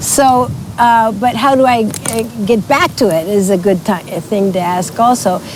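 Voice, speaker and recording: A woman's medium-pitched voice at a moderate pace, with ordinary pitch variation, very even loudness, and noticeable background noise. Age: 70s. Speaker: interview guest. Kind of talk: casual interview chat.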